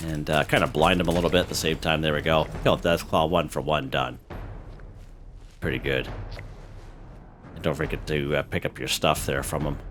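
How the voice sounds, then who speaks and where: A man's very deep, low voice with vocal fry and fairly even intonation, at a fairly quick pace broken by long, frequent pauses. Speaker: gaming youtuber. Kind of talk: gameplay tutorial. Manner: casual, many fillers.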